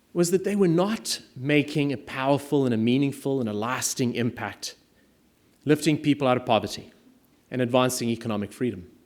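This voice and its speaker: A man with a South African accent talks at a fairly high pitch. His intonation is lively and his pace moderate. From South Africa, small mining town. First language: Afrikaans. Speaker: private equity attorney and impact investor. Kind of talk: speech to an audience.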